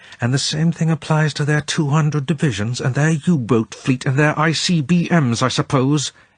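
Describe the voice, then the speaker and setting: In a put-on character voice, a raspy man speaks with a stern tone at a fairly high pitch, with ordinary pitch variation, at a moderate pace and with hardly any pauses. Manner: stern, sceptical.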